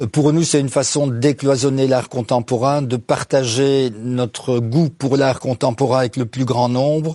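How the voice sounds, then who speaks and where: Hardly pausing, a man speaks at a medium pitch with a dark, mellow tone and fairly even intonation. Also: fairly slow pace. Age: 70s. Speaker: business owner. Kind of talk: interview. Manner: hesitant, many fillers.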